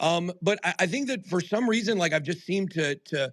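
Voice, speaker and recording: This man speaks loudly at a high pitch. His tone is animated and passionate. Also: very clean recording, silent background. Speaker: crypto YouTuber and podcast host. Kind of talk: Twitter Spaces live discussion. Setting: live audio stream on Twitter Spaces. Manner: animated, passionate.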